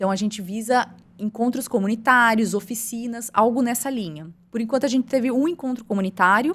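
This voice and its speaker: A woman speaks in a plain, everyday voice at a fairly quick pace. Her pitch sits fairly high, with ordinary variation. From interior of São Paulo state, Brazil. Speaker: environmental project coordinator. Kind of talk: podcast interview.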